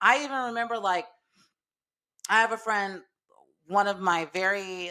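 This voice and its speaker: Speaking at a fairly slow pace, a woman with a bright, sharp tone and medium pitch shows ordinary pitch variation on a very clean recording with a silent background. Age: 30s. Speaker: podcast host. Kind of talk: casual monologue. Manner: laid-back.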